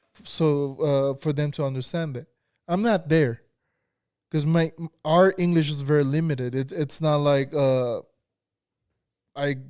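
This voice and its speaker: This speaker has a non-native accent and fairly even intonation, talking at a fairly slow pace. Long, frequent pauses break up speech on a very clean recording with a silent background. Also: man, fairly high pitch for a man. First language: not English. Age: young. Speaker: podcast co-host. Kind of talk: casual chat. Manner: halting.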